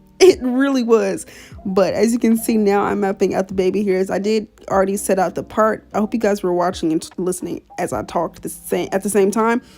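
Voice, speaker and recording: Over background music, a woman talks at a fairly quick pace, her pitch medium with ordinary variation. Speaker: beauty vlogger. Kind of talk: tutorial. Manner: fast; stutter.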